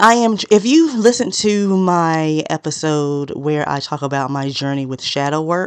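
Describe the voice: A woman speaks at a fairly slow pace in a low-pitched voice with a clear, smooth tone. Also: ordinary pitch variation.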